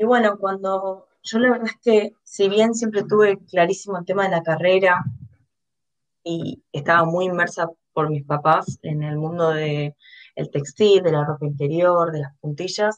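A woman with a plain, everyday voice speaks at a fairly slow pace. Her pitch is medium, with ordinary pitch variation. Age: 20s. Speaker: designer and e-commerce manager. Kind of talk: interview.

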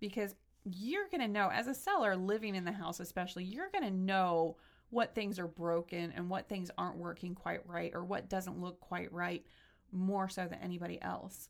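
Here a woman with a plain, everyday voice speaks at a moderate pace. Her pitch is medium and her intonation fairly even. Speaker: radio show host. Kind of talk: casual interview.

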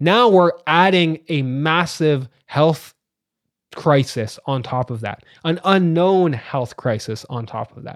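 A man with a Canadian accent speaks in a plain, everyday voice, fairly high in pitch, with lively intonation. The recording is very clean, the background silent. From Ontario, Canada (Ajax, east of Toronto). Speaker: sociology professor and podcaster. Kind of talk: casual interview.

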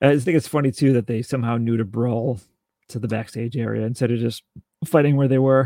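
A man talks at a fairly quick pace and medium pitch, his tone dark and mellow and his intonation fairly even. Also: dry, close sound with no echo. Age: 40s. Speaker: wrestling podcast co-host. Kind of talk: casual chat.

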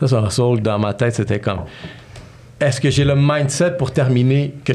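Over noticeable background noise, a man talks at a fairly quick pace with medium pitch and ordinary pitch variation. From Montreal, Quebec (childhood partly in New York). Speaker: entrepreneur and podcast host. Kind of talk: casual interview chat.

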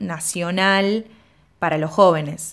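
A woman with an Rioplatense accent and ordinary pitch variation. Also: very clean recording, silent background. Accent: Argentine Spanish (rioplatense). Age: 20s. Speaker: podcast host. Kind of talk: scripted narration with interview.

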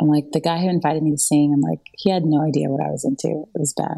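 A woman with a Southern US accent speaks with a very deep, low pitch, a dark, mellow tone and ordinary pitch variation. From US South, North Carolina. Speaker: songwriter. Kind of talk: testimony.

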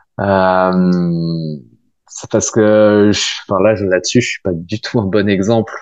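A man with a very deep, low pitch speaks at a very slow pace, his intonation fairly even, with long, frequent pauses. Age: 20s. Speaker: physiotherapist. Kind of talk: interview. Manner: halting, many fillers and repetitions.

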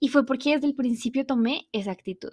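Soft-spoken, a woman uses ordinary pitch variation in a dry, close sound with no echo on a very clean recording with a silent background. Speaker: podcast host and empowerment coach. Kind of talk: solo podcast monologue. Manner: soft and quiet.

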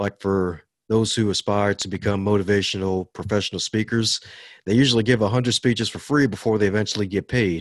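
A man with an American accent speaks at a moderate pace with a fairly low pitch and ordinary pitch variation. The sound is dry and close with no echo, on a very clean recording with a silent background. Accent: slight Southern tinge over Baltimore. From Baltimore, US. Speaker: motivational teacher and author. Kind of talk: interview. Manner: upbeat, animated, laughs often.

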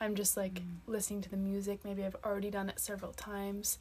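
A woman with a Canadian accent speaks at a medium pitch in a somewhat breathy voice. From Nova Scotia, Canada. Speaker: dancer. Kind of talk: casual chat. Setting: hostel bunk bed.

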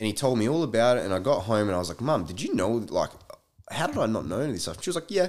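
A medium-pitched man with an Australian accent, very fast pace and very wide pitch swings. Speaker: podcast guest. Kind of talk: casual chat.

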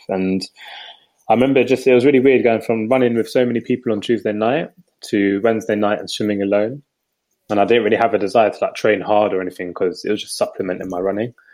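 Medium in pitch, a man talks at a very fast pace. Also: fairly even intonation. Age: 20s. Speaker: swimming community co-founder and youth worker. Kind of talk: casual chat. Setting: video call.

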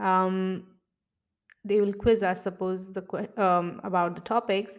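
A woman speaks at a medium pitch with an Indian accent. Her intonation stays fairly even, and the recording is very clean with a silent background. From India, Mumbai. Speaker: podcast host, gynecologist and life coach. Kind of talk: casual solo monologue.

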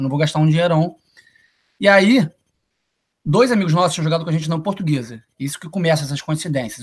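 Talking very fast, a man with a fairly high pitch uses ordinary pitch variation. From Brazil, Niterói (Rio de Janeiro state). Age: 20s. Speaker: college soccer player. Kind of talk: casual interview. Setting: live video stream.

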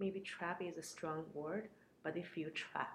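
Somewhat breathy and fairly low, a woman's voice holds fairly even intonation. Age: 30s. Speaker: entrepreneur and business mentor. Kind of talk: interview.

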